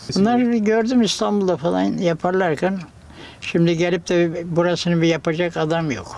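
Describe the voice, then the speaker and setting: A man talks at a moderate pace. His pitch is high, with ordinary variation. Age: 80s+. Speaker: craftsman. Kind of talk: casual interview. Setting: small workshop.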